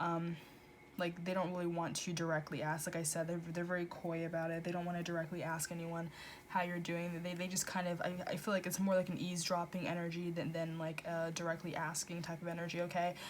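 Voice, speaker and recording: With audible room echo, a woman speaks very fast in a fairly low voice, her intonation monotone and flat. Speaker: tarot reader. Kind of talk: tarot reading monologue. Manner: halting, stuttering; casual, filler-heavy.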